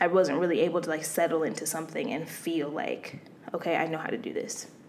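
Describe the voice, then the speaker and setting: A woman's fairly low-pitched voice with fairly even intonation, audible room echo and noticeable background noise. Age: 20s. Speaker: podcast co-host. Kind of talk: casual chat.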